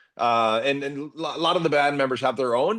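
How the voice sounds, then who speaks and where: A man with a fairly high pitch rattles along very fast, his intonation lively. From Chile. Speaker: rock musician, band leader. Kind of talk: interview. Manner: casual, enthusiastic.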